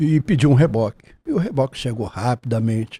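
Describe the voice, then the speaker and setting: With a dark, mellow, somewhat breathy tone, a man talks at a moderate pace with ordinary pitch variation in a dry, close sound with no echo. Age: 70s. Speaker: taxi driver. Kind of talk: testimony. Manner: formal.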